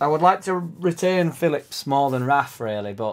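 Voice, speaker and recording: A man's voice is heard. Its pitch shows ordinary variation. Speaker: football fan vlogger. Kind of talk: casual vlog chat. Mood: animated, a bit frustrated. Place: home room. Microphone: webcam.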